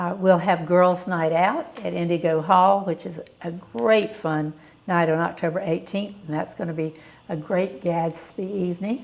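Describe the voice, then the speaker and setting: A woman's fairly low voice with a Southern US accent and fairly even intonation. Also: moderate pace. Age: 70s. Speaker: charity director. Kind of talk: interview.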